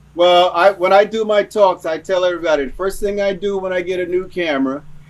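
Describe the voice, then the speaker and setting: Over noticeable background noise, a man talks at a very fast pace in a high voice. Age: 60s. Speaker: wildlife photographer and workshop leader. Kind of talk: casual interview chat. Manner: halting, many repeated words.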